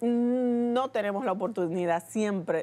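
A woman's fairly high voice with a Dominican accent and ordinary pitch variation. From Dominican Republic. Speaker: TV show host. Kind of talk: TV interview. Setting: TV studio. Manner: animated. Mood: warm, admiring, emotional. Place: studio. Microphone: lapel.

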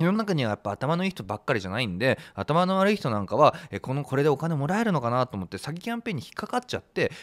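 Against a quiet background, a man talks at a very fast pace with hardly any pauses and very wide pitch swings. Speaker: online commentator. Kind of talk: commentary. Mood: critical, concerned. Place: studio. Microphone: studio mic.

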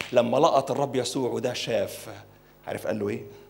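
A man with an Egyptian accent, raised and projected, in an animated tone. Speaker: pastor. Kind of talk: sermon. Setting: church. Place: church. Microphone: handheld.

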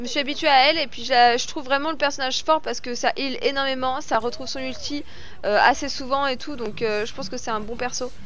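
A woman speaks at a high pitch and fairly quick pace with ordinary pitch variation, the sound dry with no echo and light background noise. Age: 30s. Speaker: gaming YouTuber and streamer; gaming streamer. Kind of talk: gameplay commentary with viewer Q&A. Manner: animated.

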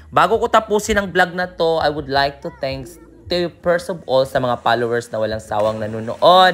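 The speech goes at a moderate pace, with noticeable background noise. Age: 20s. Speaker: travel vlogger, tour guide. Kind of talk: travel vlog narration. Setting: outdoors. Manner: animated.

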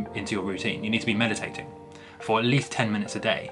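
A man's voice with clear music in the background. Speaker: lucid dreaming channel host. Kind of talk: tutorial. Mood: earnest, serious. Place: home room. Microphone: webcam.

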